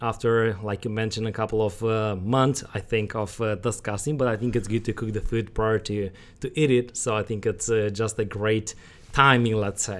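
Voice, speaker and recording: A man with a Romanian accent is heard in a very clean recording with a silent background. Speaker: ordained minister and podcast co-host. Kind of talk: casual interview.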